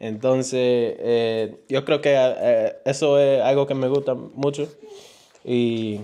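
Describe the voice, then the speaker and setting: At a very slow pace, a man speaks in a monotone, flat intonation with medium pitch and very even loudness. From New York. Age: 20s. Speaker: family vlogger. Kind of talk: casual chat. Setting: livestream at home. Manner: halting.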